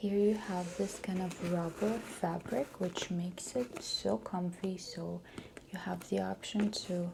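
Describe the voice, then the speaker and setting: A soft-spoken woman speaks fairly slowly at a medium pitch, with ordinary pitch variation. Background noise is noticeable. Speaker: ASMR artist. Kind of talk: ASMR roleplay personal stylist session. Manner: soft-spoken, slow.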